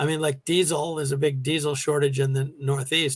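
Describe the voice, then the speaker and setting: Heard on a very clean recording with a silent background, a man with an American accent uses an ordinary speaking voice, fairly high in pitch, at a fairly quick pace with fairly even intonation. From New York. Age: 60s. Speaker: retired teacher. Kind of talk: interview. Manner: conversational, with fillers.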